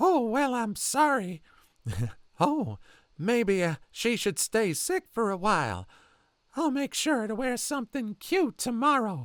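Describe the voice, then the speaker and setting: A man uses a put-on character voice at an extremely high pitch, with very wide pitch swings. He leaves long, frequent pauses. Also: fairly slow pace, dry, close sound with no echo, very clean recording, silent background. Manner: creepy, sickly sweet.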